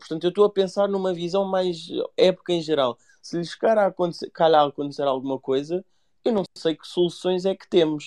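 In a dry, close sound with no echo, a high-pitched man talks at a fairly quick pace with ordinary pitch variation and big swings in loudness. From Mafra, Portugal. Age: 20s. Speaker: football fan commentator. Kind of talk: online group discussion.

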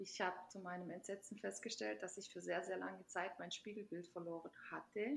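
Speaking at a moderate pace, a woman uses a medium pitch, lively intonation and vocal fry. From Hungarian minority in former Yugoslavia, then Germany from age 14. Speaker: self-love activist. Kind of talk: interview.

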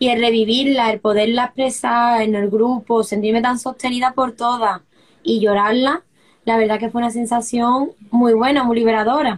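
This woman's fairly high voice stays monotone and flat, with very even loudness throughout. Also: moderate pace. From Seville, southern Spain. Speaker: former course student sharing personal healing story. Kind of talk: personal testimony.

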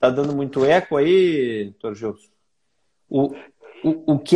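Speaking at a fairly slow pace, a man uses lively intonation and a dark, mellow tone. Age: 40s. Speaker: doctor hosting a health live stream. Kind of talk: live stream interview. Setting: online live stream with viewers.

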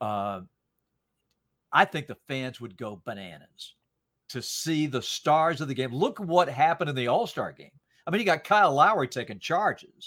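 An American man speaks at a moderate pace with very wide pitch swings, fairly high for a man, and some vocal fry. Long, frequent pauses break up his speech, and the recording is very clean with a silent background. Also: big swings in loudness. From US South, North Carolina. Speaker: sports play-by-play commentator. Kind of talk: podcast interview.

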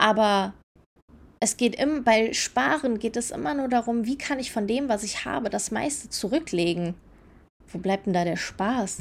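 With an animated tone and lively intonation, a woman speaks at a fairly high pitch. Her pace is moderate. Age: 30s. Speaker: podcast host. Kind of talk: casual monologue.

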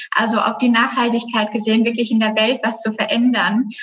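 A woman's high-pitched voice comes through with noticeable noise in the background. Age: 20s. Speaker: graphic designer and business coach. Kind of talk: casual chat.

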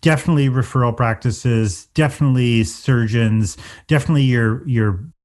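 A man with an Atlantic Canadian accent speaks at a fairly quick pace and medium pitch, with ordinary pitch variation. The background is quiet. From Atlantic Canada. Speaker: tech company CEO. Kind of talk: interview.

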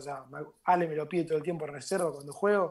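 This man's voice is high-pitched. He talks at a very fast pace. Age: 20s. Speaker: footballer. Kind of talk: casual chat.

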